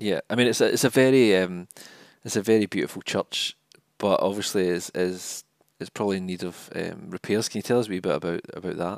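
On a very clean recording with a silent background and a dry, close sound with no echo, a man speaks fairly quickly in a Scottish accent, his pitch fairly low and his intonation fairly even. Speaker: podcast host, charity communications officer. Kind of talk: interview conversation.

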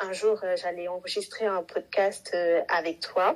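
This woman speaks. Her pace is very slow. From Senegal. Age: 20s. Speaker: administrative assistant apprentice. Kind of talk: casual chat.

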